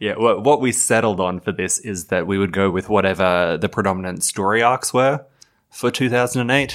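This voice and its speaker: A man talks at a fairly quick pace and a fairly low pitch, with ordinary pitch variation. It is an ordinary speaking voice. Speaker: podcast host. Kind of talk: casual chat.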